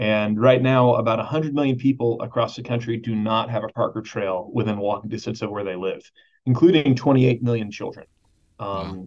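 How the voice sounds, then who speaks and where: Here is a plain, everyday voice from a man with an American accent. He holds a medium pitch and fairly even intonation at a moderate pace. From Texas, Dallas. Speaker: parks conservation nonprofit director. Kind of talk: interview conversation. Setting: video call.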